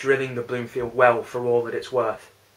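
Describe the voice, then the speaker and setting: A man speaks with a Lancashire accent. His pitch is medium. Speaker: spoken word poet. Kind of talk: spoken word poetry performance.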